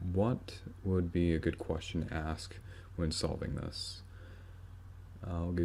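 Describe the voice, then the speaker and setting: Speaking at a fairly slow pace, a man with a very deep, low pitch and somewhat breathy delivery keeps his intonation fairly even. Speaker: math tutorial maker. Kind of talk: tutorial.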